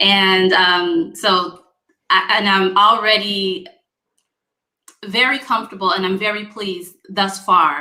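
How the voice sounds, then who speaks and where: In a room with audible echo, a woman speaks very slowly at a medium pitch with long, frequent pauses, her bright, sharp tone carrying fairly even intonation. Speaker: internet talk show host. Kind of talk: casual panel discussion. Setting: live stream video call.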